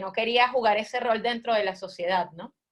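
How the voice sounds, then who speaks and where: A woman speaks at a fairly high pitch. Her pace is fairly quick, and her pitch varies in an ordinary way. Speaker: expert speaker at a forum. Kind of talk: panel presentation with slides. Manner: many filler hesitations.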